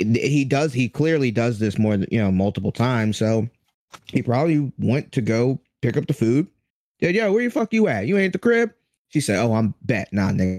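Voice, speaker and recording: At a moderate pace, a man speaks in a normal speaking voice with medium pitch, lively intonation and very even loudness. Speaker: podcast host. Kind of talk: casual comedy banter. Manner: joking, crude.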